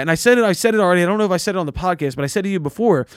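On a very clean recording with a silent background, a man with a Philadelphia accent speaks with lively intonation in a dry, close sound with no echo. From Philadelphia, US. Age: 20s. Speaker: podcast host. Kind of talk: casual chat.

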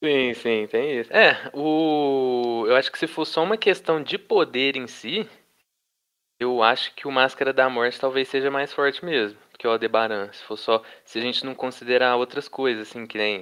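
A man speaks at a moderate pace and medium pitch. His loudness swings widely. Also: ordinary pitch variation. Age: 20s. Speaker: history student, podcast panelist. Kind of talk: casual chat. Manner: hesitant, many fillers.

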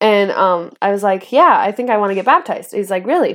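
A woman's fairly high pitch shows ordinary pitch variation as she talks at a fairly quick pace. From northern Idaho, US. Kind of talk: testimony. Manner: laughs often.

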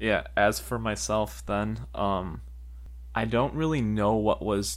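A man speaks at a very deep, low pitch with very wide pitch swings. His pace is fairly slow. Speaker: podcast co-host. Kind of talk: casual chat. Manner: halting.

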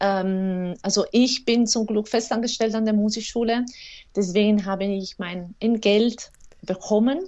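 A woman's fairly high voice in an Italian accent, with fairly even intonation. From Italy, Rome. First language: Italian (speaking German). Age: 30s. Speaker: clarinettist and music teacher. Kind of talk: interview. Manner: halting, many fillers.

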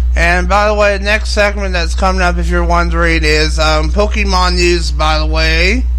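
A man speaks in a very deep, low pitch with monotone, flat intonation and very even loudness, leaving hardly any pauses. Noticeable background noise sits behind him. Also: moderate pace. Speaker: radio host. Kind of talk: casual radio DJ patter, ad-libbed morning show chatter between reads of news and music. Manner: relaxed, chatty, rambling, with frequent 'um' fillers and self-corrections; informal, direct address to listeners.

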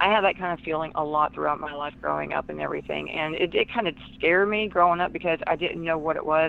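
The speaker has a Southern US accent. The pace is very fast. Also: woman. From US South. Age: 40s. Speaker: author and empath. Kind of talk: interview.

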